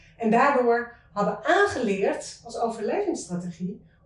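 A woman's high voice moves through very wide pitch swings, with audible room echo. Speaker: author. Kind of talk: interview conversation.

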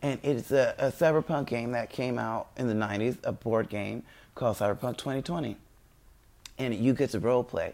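The recording is very clean, its background silent. The delivery keeps a moderate pace. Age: 30s. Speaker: podcaster promoting own game and web series. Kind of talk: casual monologue. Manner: rambling with many fillers.

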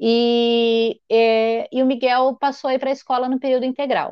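This voice belongs to a woman. Her pitch is high. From Brazil, Marília (São Paulo state). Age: 30s. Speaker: entrepreneur in home care services. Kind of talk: casual interview.

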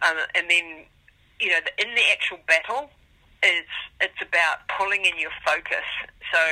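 With long, frequent pauses at a moderate pace, a woman speaks in a bright, sharp tone with ordinary pitch variation. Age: 50s. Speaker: ultramarathon runner and mental toughness coach. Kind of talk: interview.

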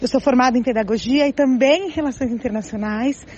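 Over noticeable background noise, a woman speaks at a fairly quick pace in a high pitch. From São Paulo, Brazil. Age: 40s. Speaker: schoolteacher. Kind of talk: interview.

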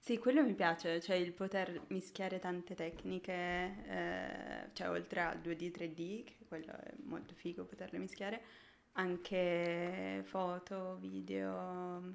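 A woman at a very slow pace, her loudness swinging widely. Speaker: junior motion designer. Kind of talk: casual chat. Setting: live stream. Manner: shy.

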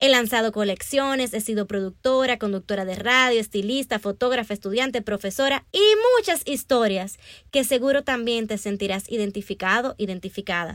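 A woman with a normal speaking voice, fairly high in pitch, with ordinary pitch variation. She talks at a moderate pace on a very clean recording with a silent background. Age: 20s. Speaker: podcast host and author. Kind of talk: scripted monologue.

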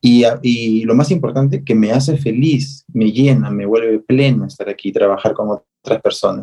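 In a normal speaking voice, a man talks at a moderate pace with medium pitch, ordinary pitch variation and hardly any pauses. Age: 30s. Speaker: visual artist and activist. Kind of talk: interview.

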